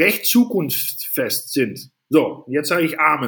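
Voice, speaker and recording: A man speaks very slowly with a Dutch accent. His pitch is fairly high. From Netherlands. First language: Dutch (speaking German). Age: 40s. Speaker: safety equipment entrepreneur. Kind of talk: casual interview.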